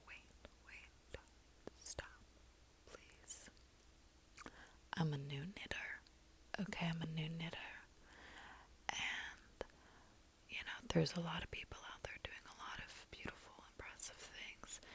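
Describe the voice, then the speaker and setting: The voice is whispering at a very slow pace. Long, frequent pauses break up the words. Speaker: beginner knitter, ASMR creator. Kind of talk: ASMR soft-spoken whispered talk to camera. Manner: soft-spoken, whispered.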